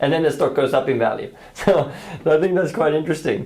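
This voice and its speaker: Through noticeable background noise and audible room echo, a man with a non-native accent speaks at a fairly high pitch. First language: not English. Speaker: trading educator. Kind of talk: casual market chat.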